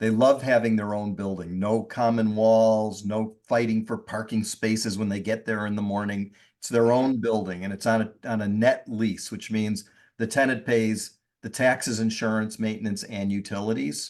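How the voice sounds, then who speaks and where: Against a quiet background, a man with an unremarkable speaking voice talks at a moderate pace, with a fairly low pitch and fairly even intonation. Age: 60s. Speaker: real estate investor. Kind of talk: podcast interview.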